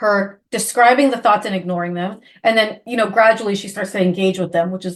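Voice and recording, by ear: A passage is read aloud in a natural voice.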